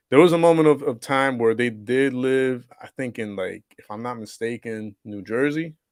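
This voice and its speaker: The speech moves at a moderate pace with hardly any pauses. Its loudness swings widely. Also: man, medium pitch for a man, ordinary pitch variation. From Puerto Rico, then US from about age five. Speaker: interview guest, comic book collector. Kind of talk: casual interview chat. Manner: many fillers and repetitions.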